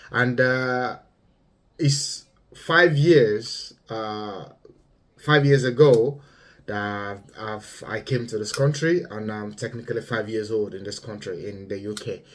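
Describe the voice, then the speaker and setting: Very slow speech from a man with a Yoruba accent, medium pitch, ordinary pitch variation and big swings in loudness. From Nigeria. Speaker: vlogger. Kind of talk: monologue commentary. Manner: halting, many fillers.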